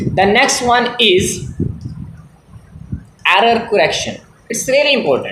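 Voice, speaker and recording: In a Pakistani accent, a man speaks at a very slow pace, with audible room echo around him. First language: Punjabi. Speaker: English teacher. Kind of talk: tutorial. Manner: halting.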